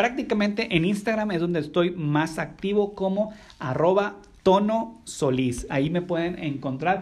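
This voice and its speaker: This man has a high pitch with ordinary pitch variation and keeps a moderate pace. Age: 30s. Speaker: podcast host. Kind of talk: casual chat.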